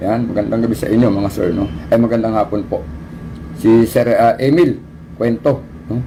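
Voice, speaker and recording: A man talks at a fairly quick pace with a medium pitch and ordinary pitch variation over noticeable background noise. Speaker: livestream host. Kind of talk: casual livestream talk. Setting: livestream on camera.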